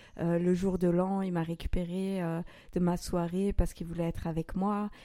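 In a dark, mellow tone, this woman talks at a moderate pace. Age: 30s. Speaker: podcast host sharing her own story. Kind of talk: personal testimony in conversation. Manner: hesitant.

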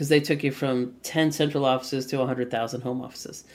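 The recording is very clean, its background silent. A woman talks in an American accent. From US, Boston. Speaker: future of work strategist and author. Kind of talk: interview.

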